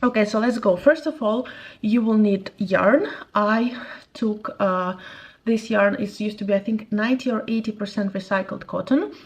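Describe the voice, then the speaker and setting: A woman with a non-native accent, fairly high-pitched and somewhat breathy, at a moderate pace with ordinary pitch variation against a quiet background. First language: not English. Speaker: crochet youtuber, former clothing brand owner. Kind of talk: tutorial. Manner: casual, slightly halting.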